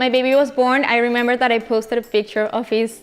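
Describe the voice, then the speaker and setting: At a moderate pace, a woman talks with a Colombian accent. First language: Spanish. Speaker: chef and food influencer. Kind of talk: interview. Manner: halting, with many fillers and repetitions.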